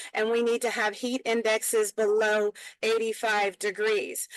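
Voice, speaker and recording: A woman talks in an ordinary speaking voice, fairly high in pitch, with fairly even intonation. Her pace is moderate and the background is quiet. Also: dry, close sound with no echo. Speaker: prison reform advocate. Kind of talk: webinar panel talk.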